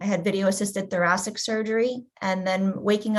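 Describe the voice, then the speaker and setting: Against a quiet background, a woman talks in a somewhat breathy voice. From US, Polish-speaking immigrant family. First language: Polish. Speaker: patient advocate. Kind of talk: personal testimony in panel video chat.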